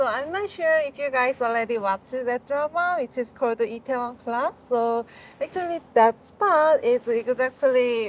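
Light background noise sits under a voice at a fairly slow pace, with ordinary pitch variation and a dry sound with no echo. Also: woman, high pitch for a woman. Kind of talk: interview answer. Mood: cheerful, laughing. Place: cafe. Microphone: phone near.

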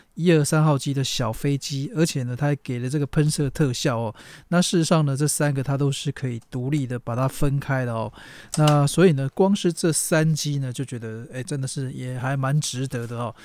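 Over light background noise, a man in a Taiwanese accent speaks at a fairly high pitch. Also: ordinary pitch variation, moderate pace, dry sound with no echo. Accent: Taiwanese Mandarin. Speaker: toy reviewer. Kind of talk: unboxing review. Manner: casual, lots of filler particles.

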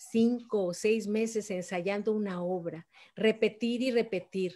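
In a Mexico City accent, a woman talks at a fairly high pitch. Her pitch varies in an ordinary way. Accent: Mexican Spanish (Mexico City). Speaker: photographer and writer; guest. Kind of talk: interview; interview answer. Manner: animated. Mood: lively, expressive storytelling. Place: home room. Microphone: video call.

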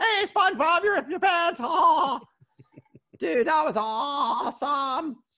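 Using a put-on character voice, a man speaks fairly slowly at an extremely high pitch. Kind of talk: interview answer.

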